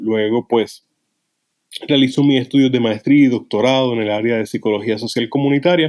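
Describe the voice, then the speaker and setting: A man at medium pitch, with fairly even intonation and a moderate pace. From Puerto Rico. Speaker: psychologist and author. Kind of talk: interview. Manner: halting.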